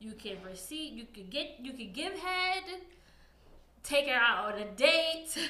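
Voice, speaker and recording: Over noticeable background noise and audible room echo, a woman with an American accent talks at a fairly slow pace in a raised, projected voice. Her high pitch swings very widely, her loudness shifts a lot, and she takes long, frequent pauses. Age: 30s. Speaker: podcast guest. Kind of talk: casual chat.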